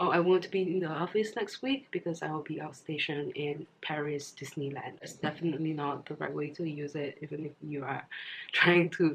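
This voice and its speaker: Noticeable background noise sits behind this recording. A woman speaks in a very deep, low voice. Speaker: language teacher. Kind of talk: casual language lesson to camera.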